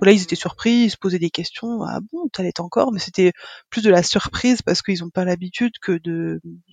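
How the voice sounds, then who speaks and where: Music plays in the background as a woman talks at a fairly quick pace with ordinary pitch variation, in a dry, close sound with no echo. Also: medium pitch for a woman. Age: 30s. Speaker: mother sharing breastfeeding experience. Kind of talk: interview testimony. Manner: halting, many hesitations and repetitions.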